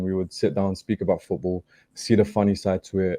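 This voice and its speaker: A man talks at a fairly quick pace in a very deep, low pitch with a dark, mellow tone and monotone, flat intonation. The sound is dry and close with no echo, over a quiet background. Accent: British. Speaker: football podcaster, guest. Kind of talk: casual chat. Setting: studio.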